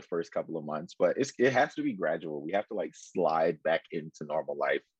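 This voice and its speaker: The sound is dry and close, with no echo. A man talks at a moderate pace with hardly any pauses. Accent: American. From US South. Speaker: college radio host. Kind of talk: casual chat. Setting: radio studio.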